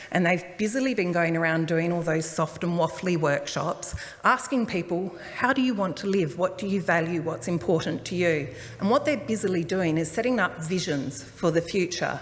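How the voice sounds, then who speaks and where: A booming woman's voice in an Australian accent, fairly low in pitch with lively intonation and a moderate pace, plus noticeable background noise and audible room echo. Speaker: transport planner. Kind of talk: public talk. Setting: community hall forum with audience.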